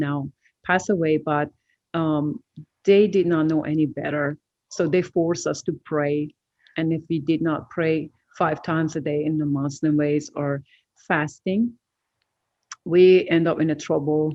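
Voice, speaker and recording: Speaking with a Persian accent, a woman uses a very deep, low pitch and fairly even intonation, with long, frequent pauses. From Iran. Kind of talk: testimony. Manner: halting, many fillers.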